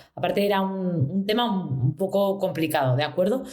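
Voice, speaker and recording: The pace is fairly quick. Intonation is lively throughout. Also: woman. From Spain. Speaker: UX designer. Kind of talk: interview. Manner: fast.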